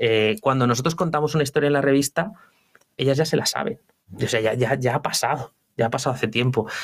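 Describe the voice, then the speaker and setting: Very fast male speech at very even loudness. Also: medium pitch for a man, ordinary pitch variation. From Spain, León province (rural village). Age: 40s. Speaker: entrepreneur. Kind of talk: interview. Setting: office. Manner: halting.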